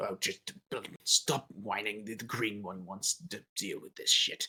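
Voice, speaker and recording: A man puts on a character voice. He speaks at medium pitch and a fairly slow pace. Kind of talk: crude. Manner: gruff, dismissive.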